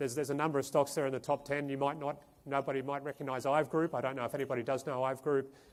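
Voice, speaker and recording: A man speaks very fast with an Australian accent. His fairly high pitch stays monotone and flat. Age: 40s. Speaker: portfolio manager. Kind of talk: investment presentation. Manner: halting, many fillers.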